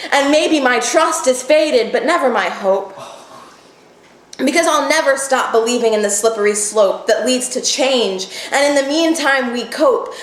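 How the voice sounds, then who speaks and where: Over noticeable background noise, a woman talks at a high pitch. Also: ordinary pitch variation, moderate pace. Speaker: spoken word poet. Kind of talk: poetry slam performance.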